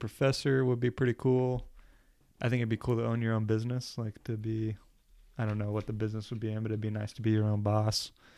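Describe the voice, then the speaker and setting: Against a quiet background, a man speaks with an American accent at a fairly quick pace. His pitch is medium, and his intonation is monotone and flat. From New Jersey, US. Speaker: army officer. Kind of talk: casual chat.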